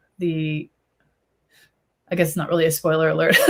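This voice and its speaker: A woman speaks with a Chicago accent. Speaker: YA author on panel. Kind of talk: panel discussion. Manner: halting, many fillers.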